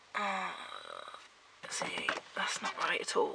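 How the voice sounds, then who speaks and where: A woman whispers with a British accent at a fairly slow pace. Noticeable background noise can be heard. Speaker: family vlogger. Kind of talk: casual vlog. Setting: at home.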